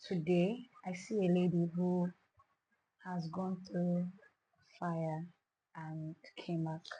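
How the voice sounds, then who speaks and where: Delivered at a very slow pace with long, frequent pauses, the voice is somewhat breathy with a dark, mellow tone and monotone, flat intonation. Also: woman, fairly low pitch for a woman. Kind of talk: interview answer.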